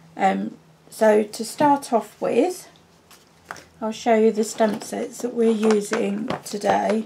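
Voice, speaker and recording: Over noticeable background noise, a woman in a southern English accent speaks very slowly, her fairly high pitch held in fairly even intonation. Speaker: papercraft demonstrator. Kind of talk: tutorial.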